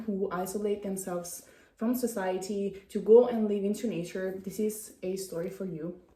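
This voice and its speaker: Speaking with a non-native accent, a woman keeps a moderate pace. Audible room echo surrounds her voice. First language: not English. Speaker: vlogger. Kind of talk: casual chat. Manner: halting.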